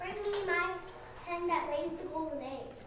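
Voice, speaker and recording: A put-on character voice bellows at a moderate pace. Clear background noise and clear echo are present. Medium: stage play. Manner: roaring, commanding.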